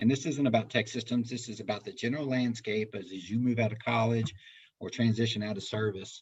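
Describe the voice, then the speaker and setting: Speaking very fast, a man uses a medium-pitched, somewhat breathy voice. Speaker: recruiter. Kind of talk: webinar presentation.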